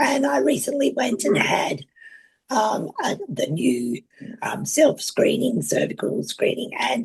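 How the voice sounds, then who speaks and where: The speaker has an Australian accent. The pace is very slow. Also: woman. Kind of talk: personal introduction. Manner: halting.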